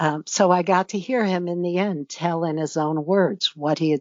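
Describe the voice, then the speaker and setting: A woman with an American accent speaks at a moderate pace in an ordinary speaking voice, fairly low in pitch with ordinary pitch variation. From United States. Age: 60s. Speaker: author and retired judge. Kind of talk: interview.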